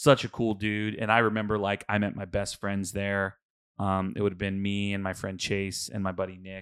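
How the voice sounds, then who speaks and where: Here a man with an American accent talks at a moderate pace and a fairly low pitch. His intonation is monotone and flat, and the recording is very clean with a silent background. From Houston, Texas. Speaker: podcast co-host. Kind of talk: casual chat. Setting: studio.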